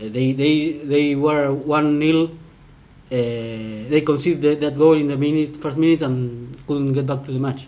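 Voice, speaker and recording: A man's fairly high, dark, mellow voice with a Spanish accent, fairly even intonation and a fairly slow pace. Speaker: football commentator. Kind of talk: casual podcast chat about football. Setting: home apartment recording. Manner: halting.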